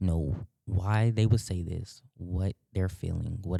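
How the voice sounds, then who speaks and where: A soft-spoken man with a very deep, low pitch and a dark, mellow tone talks at a very slow pace. The recording is very clean, with a silent background and a dry, close sound with no echo. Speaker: theater student. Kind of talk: casual interview. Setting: on campus.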